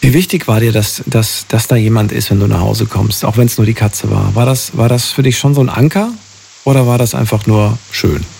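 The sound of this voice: Fairly low in pitch, a man talks at a fairly quick pace with few pauses and fairly even intonation. His tone is slightly mellow, with vocal fry.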